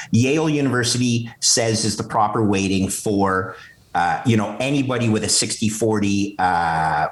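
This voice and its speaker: A man with a Canadian accent talks at a moderate pace in a medium pitch with ordinary pitch variation and very even loudness, amid noticeable background noise and audible room echo. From Canada, Montreal. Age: 50s. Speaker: finance executive and bitcoin strategist. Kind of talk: podcast interview. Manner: animated.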